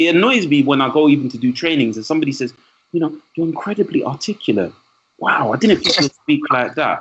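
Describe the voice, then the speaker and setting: Speaking very fast with a London accent, a man uses a fairly high voice and lively intonation. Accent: London English, multicultural London. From East London, England. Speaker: trainer and speaker, podcast guest. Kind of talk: casual podcast conversation. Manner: animated.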